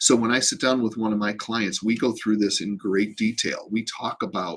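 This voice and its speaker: Medium in pitch and moderate in pace, this man talks. He has a plain, everyday voice. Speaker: real estate agent. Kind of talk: informational video talk.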